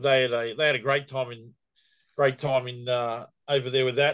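Fairly quick speech in an Australian accent. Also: man. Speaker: youth baseball organiser. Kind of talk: casual chat. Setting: video call.

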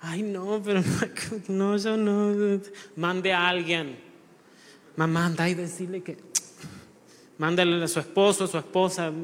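Audible room echo surrounds a man with a high pitch and fairly even intonation. He speaks at a very slow pace with long, frequent pauses. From Uruguay. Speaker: lay preacher. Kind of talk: sermon. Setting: church.

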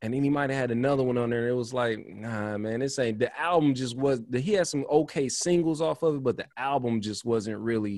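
At a fairly quick pace, a man talks in a normal speaking voice with a medium pitch and ordinary pitch variation. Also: hardly any pauses. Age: 30s. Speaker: podcast host. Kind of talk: casual chat.

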